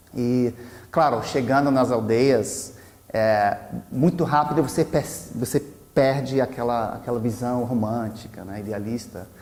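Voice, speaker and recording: Long, frequent pauses mark this man's fairly slow speech. He has an American accent, medium pitch and ordinary pitch variation. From US South, Virginia. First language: English (speaking Portuguese). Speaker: anthropologist. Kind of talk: personal talk to camera. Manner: halting, many restarts and fillers.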